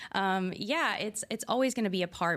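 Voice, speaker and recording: A woman speaks with a Texan accent. The recording is very clean, with a silent background. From rural Texas. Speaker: motorsports garage owner. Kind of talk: podcast interview. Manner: halting.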